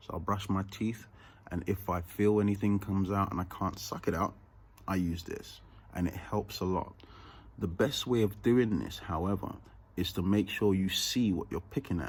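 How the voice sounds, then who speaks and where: This man's voice sits at a fairly low pitch and sounds somewhat breathy. He keeps a moderate pace with fairly even intonation. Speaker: vlogger. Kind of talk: casual vlog tutorial. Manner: slightly altered speech from dental bridge.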